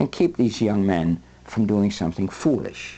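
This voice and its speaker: In a quiet background, a man with a dark, mellow tone and vocal fry makes very wide pitch swings. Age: 60s. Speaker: men's movement leader and show host. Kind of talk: monologue to camera.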